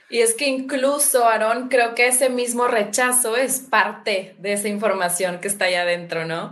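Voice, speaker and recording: With audible room echo, a woman speaks at a moderate pace with hardly any pauses and ordinary pitch variation. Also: fairly high pitch for a woman. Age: 40s. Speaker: habit-change coach and podcaster. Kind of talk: casual conversation on a livestream.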